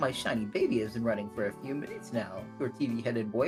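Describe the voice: Someone is doing plain reading aloud. The pitch moves in a lively way.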